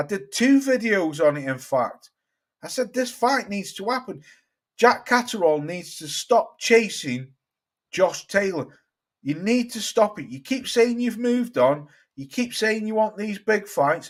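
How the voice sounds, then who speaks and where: Over a silent background in a very clean recording, the speaker goes fairly slowly, with very wide pitch swings and big changes in loudness. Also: man, high pitch for a man. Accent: British. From England. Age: 40s. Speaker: boxing YouTuber. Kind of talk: casual livestream chat. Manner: animated.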